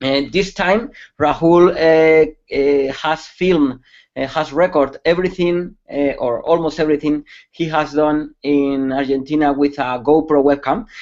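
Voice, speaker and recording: At a fairly slow pace, a man with a Spanish accent talks at a fairly high pitch with fairly even intonation. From Spain. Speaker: security expert. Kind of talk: webcast presentation. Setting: online webcast. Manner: halting, many fillers.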